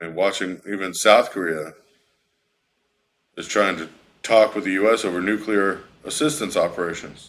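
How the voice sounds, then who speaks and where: On a very clean recording with a silent background, a man with an American accent speaks in a fairly low pitch with ordinary pitch variation. His loudness swings widely, and he takes long, frequent pauses. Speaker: livestream news commentator. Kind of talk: live stream news commentary. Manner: fast.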